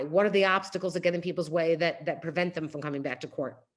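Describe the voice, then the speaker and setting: A woman with a New York accent talks using ordinary pitch variation. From New York City. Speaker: nonprofit CEO. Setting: video call. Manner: fast.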